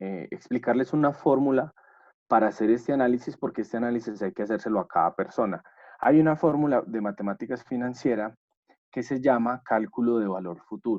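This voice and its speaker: Using an unremarkable speaking voice, a man talks at a fairly quick pace with a medium pitch. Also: ordinary pitch variation. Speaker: course instructor. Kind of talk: online lecture.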